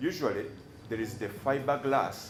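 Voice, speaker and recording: A man speaks at a moderate pace with a medium pitch and ordinary pitch variation. His voice is somewhat breathy, and there is audible room echo. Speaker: doctor testifying as defence witness. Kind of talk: court testimony. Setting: courtroom. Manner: halting, repeats words.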